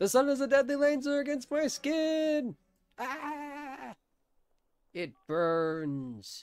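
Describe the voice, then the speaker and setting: A woman puts on a high-pitched character voice, speaking at a very slow pace with long, frequent pauses. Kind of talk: comic overacting. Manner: grandiose, mock-menacing, playful.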